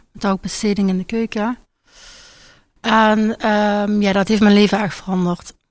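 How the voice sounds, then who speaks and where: This woman speaks in a Limburg accent. Her intonation is monotone and flat. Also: very clean recording, silent background. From Limburg, Netherlands. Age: 20s. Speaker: patient in treatment. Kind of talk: radio interview.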